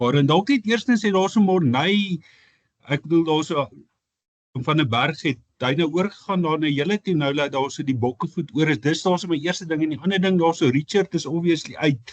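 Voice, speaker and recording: Here a man speaks in a South African accent with a fairly high pitch. His pace is fairly quick and his pitch variation ordinary. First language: Afrikaans. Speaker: sports journalist. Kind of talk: press conference question.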